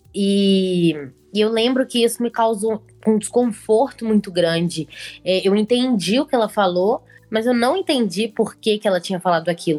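Music plays in the background as a woman speaks at a moderate pace. Her pitch is fairly high and her loudness very even. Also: ordinary pitch variation. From Brazil, Belo Horizonte. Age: 20s. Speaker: journalism student and painter. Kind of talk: casual chat.

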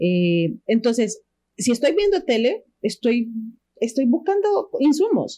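A woman's high, dark, mellow voice, very slow, with very wide pitch swings and very even loudness. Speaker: comedian, radio announcer and university lecturer. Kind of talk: casual chat.

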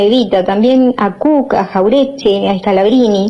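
A woman's fairly high, lively voice over noticeable background noise. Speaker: radio host and poetry reader. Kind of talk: poetry reading, spoken word with a solemn, declamatory delivery after a casual intro. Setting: radio show.

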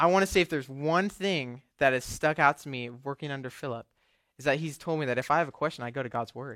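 This man has a normal speaking voice, fairly high in pitch with ordinary pitch variation. He speaks at a fairly quick pace on a very clean recording with a silent background. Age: young. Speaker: young adult ministry intern. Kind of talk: sermon. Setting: church service with audience. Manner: casual, with filler words.

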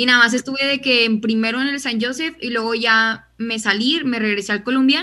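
A woman talks at a moderate pace in a fairly high pitch. Her tone is bright and sharp. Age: young. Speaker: university student. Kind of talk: casual chat.

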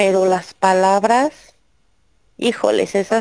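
Speaking very slowly, a woman uses a dark, mellow tone at a medium pitch with ordinary pitch variation. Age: 40s. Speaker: YouTube video creator, divorced mother. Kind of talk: interview testimony.

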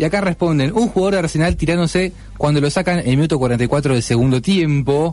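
A man with an Argentine accent talks at a fairly quick pace and a fairly high pitch, with ordinary pitch variation and very even loudness. Noticeable background noise is present. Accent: Rioplatense Argentine Spanish. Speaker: radio co-host. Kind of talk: casual chat.

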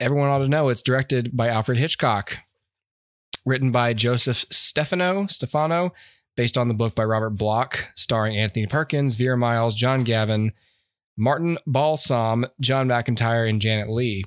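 An ordinary speaking voice: a man at medium pitch with ordinary pitch variation, very even loudness and a moderate pace. The recording is very clean with a silent background, and the sound is dry and close with no echo. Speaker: podcast host, movie reviewer. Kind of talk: casual chat, movie review podcast.

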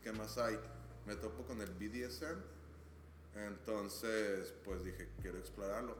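Fairly low-pitched man at a fairly slow pace, with audible room echo and noticeable background noise. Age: 30s. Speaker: podcast guest. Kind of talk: casual chat.

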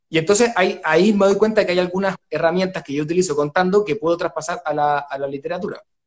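A man in a Chilean accent, very fast and high-pitched, with ordinary pitch variation and hardly any pauses. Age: 30s. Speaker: writer and oral storyteller. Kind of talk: live online book launch interview. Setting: at home.

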